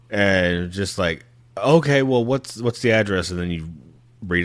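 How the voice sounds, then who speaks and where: A man talks with a slight country accent and ordinary pitch variation. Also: very clean recording, silent background. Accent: slight country twang. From Texas. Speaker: podcast host. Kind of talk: casual chat. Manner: animated.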